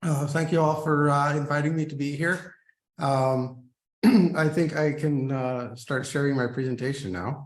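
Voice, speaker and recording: With an American accent, a man speaks at a fairly high pitch and a moderate pace, somewhat breathy. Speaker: scientist and Jesuit brother. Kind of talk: lecture. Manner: halting, many fillers.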